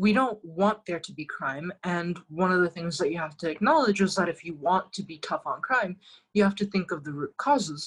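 A woman with a medium pitch and ordinary pitch variation speaks at a moderate pace in a somewhat breathy voice, her loudness swinging widely. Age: 20s. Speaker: political candidate and lecturer. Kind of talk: interview, political discussion.

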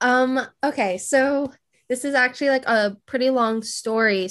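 A woman with a plain, everyday voice and an American accent, at a fairly slow pace with ordinary pitch variation, against a quiet background. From California. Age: 20s. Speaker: engineering psychologist and self-taught designer. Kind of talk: casual interview chat.

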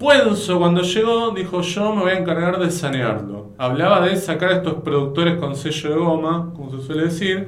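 With a Rioplatense accent, a man speaks at a high pitch and a moderate pace with lively intonation and hardly any pauses, amid noticeable background noise and audible room echo. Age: 40s. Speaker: podcast host, film critic. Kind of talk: casual chat.

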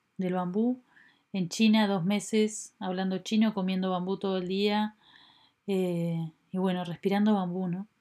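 Delivered at a fairly slow pace in a Uruguayan accent, the voice has a dark, mellow tone and a monotone, flat intonation on a very clean recording with a silent background. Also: woman. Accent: Rioplatense Spanish (Uruguayan). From Uruguay, Montevideo. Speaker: podcast host, bamboo designer. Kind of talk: personal reflective monologue. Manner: hesitant, many fillers.

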